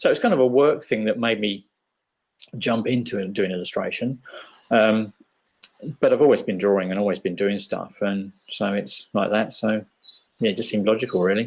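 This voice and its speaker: A man with an English accent speaks at a moderate pace in a fairly low voice. His intonation is fairly even, broken by long, frequent pauses. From England. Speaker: illustrator. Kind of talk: interview.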